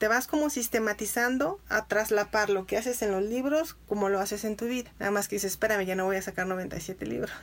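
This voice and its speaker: A woman with a normal speaking voice, medium pitch and ordinary pitch variation, at a fairly quick pace with hardly any pauses. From Mexico, Irapuato, Guanajuato. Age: 40s. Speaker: editor and literature teacher. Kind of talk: interview conversation.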